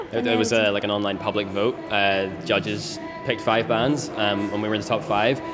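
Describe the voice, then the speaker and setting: A man talks while music runs in the background. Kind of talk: interview answer. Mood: cheerful, pleased. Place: bar.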